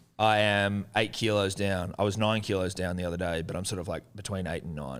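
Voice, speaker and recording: With an Australian accent and a very deep, low pitch, a man talks at a fairly quick pace and with fairly even intonation. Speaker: podcast host. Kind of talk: casual chat.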